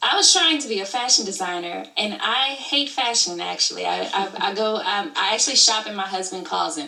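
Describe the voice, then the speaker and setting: With an American accent and a medium-pitched voice, a woman talks at a fairly quick pace with hardly any pauses, her tone animated and her intonation lively, over noticeable background noise. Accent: Southern, toned down here. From Alabama, US South. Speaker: YouTube creator and studio owner. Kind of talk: interview.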